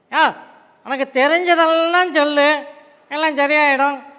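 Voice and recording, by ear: In a put-on character voice, a man speaks at an extremely high pitch and fairly slow pace with monotone, flat intonation.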